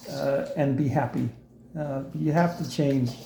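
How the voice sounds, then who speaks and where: A man speaks at a fairly slow pace with ordinary pitch variation. The room echo is audible. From South Africa. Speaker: immigrant interviewee. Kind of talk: interview. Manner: hesitant, many fillers.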